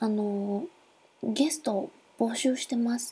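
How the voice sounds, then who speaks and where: A woman with a Nagasaki accent speaks at a fairly slow pace in a high, dark, mellow voice with ordinary pitch variation. The recording is very clean, with a silent background. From Nagasaki, Japan. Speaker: podcaster. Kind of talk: solo podcast monologue. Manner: halting, many fillers.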